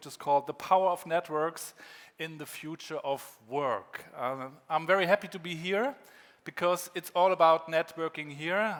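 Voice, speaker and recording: A man speaks at a high pitch and a moderate pace. The recording is very clean with a silent background. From northern Germany, Rostock. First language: German. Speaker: keynote speaker, former rapper. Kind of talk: keynote talk. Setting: conference stage with audience.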